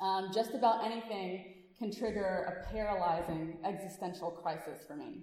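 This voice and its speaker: Amid noticeable background noise and audible room echo, a woman in a Louisiana accent speaks at a moderate pace with lively intonation. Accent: Southern US (Louisiana). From Louisiana, US South. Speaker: physician and activist speaker. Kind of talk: speech to a congregation. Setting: church service with audience. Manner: animated.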